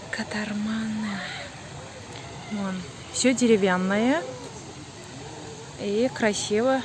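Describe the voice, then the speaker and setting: A woman with a non-native accent speaks very slowly at a fairly high pitch, with ordinary pitch variation and long, frequent pauses, amid audible room echo and noticeable background noise. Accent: non-native Russian. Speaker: vlogger. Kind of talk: casual vlog narration. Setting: outdoors.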